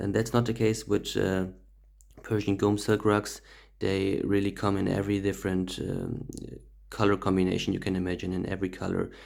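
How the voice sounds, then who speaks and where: A man's fairly low, monotone voice with a German accent, flat in intonation and fairly quick in pace, on a very clean recording with a silent background. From Germany. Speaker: rug dealer. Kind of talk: tutorial. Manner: halting, many fillers.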